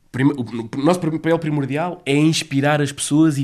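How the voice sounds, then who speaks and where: A man's fairly high-pitched voice. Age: 30s. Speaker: children's play association coordinator. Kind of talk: interview. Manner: halting, with many repetitions.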